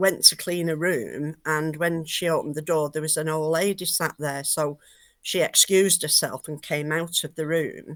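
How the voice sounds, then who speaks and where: In a very clean recording with a silent background, a woman with a very deep, low pitch speaks fairly slowly in a monotone, flat intonation. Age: 70s. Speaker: spiritual medium and artist. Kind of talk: casual interview. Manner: hesitant with many fillers.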